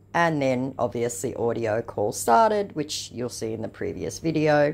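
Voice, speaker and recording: At a moderate pace, a woman talks with a very deep, low pitch and ordinary pitch variation. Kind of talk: casual commentary reading messages.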